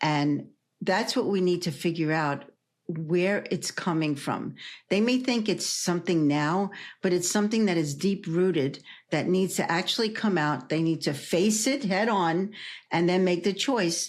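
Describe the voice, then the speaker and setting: A woman with a New York accent at a fairly slow pace, in very even loudness. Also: fairly low pitch for a woman, ordinary pitch variation. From New York City (Brooklyn). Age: 70s. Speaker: energy healer and hypnotherapist. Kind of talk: interview.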